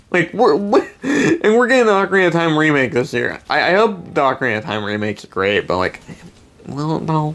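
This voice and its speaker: Noticeable noise sits in the background. The speech moves at a fairly quick pace. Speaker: gaming YouTuber. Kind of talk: rant. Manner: fast; animated.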